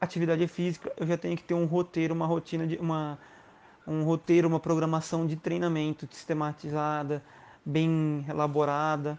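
A man with a Brazilian accent speaks in a fairly high pitch. His delivery is monotone and flat against a quiet background. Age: 30s. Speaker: crossfit instructor. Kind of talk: interview.

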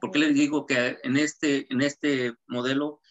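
A man with a Mexican accent. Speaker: shoe designer and pattern maker. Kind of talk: interview.

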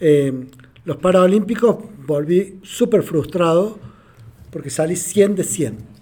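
A man speaks with a dark, mellow tone and a high pitch. His delivery is very slow, with lively intonation and long, frequent pauses. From Argentina. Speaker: adaptive athlete and motivational speaker. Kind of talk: casual interview conversation. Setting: podcast recording with small live audience.

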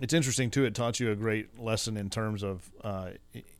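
This man speaks with a Texan accent at a fairly low pitch, his pitch varying an ordinary amount. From West Texas. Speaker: podcast host. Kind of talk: casual interview. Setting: studio.

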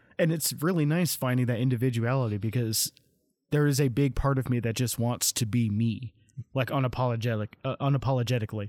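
A man at medium pitch speaks at a fairly quick pace. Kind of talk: casual chat. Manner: monotone.

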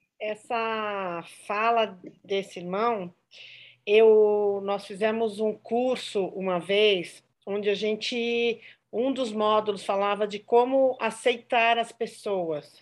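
The speaker goes at a very slow pace with fairly even intonation over a quiet background. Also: woman, fairly high pitch for a woman. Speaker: church member. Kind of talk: testimony.

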